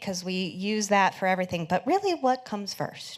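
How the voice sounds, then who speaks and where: A woman of medium pitch uses a normal speaking voice at a moderate pace. Her pitch variation is ordinary. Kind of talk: conference presentation.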